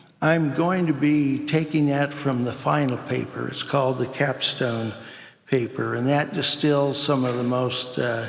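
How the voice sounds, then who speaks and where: Amid noticeable background noise and audible room echo, a man talks at a medium pitch with fairly even intonation. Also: fairly slow pace. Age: 70s. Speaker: animal nutrition scientist. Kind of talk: conference presentation. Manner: hesitant, many fillers.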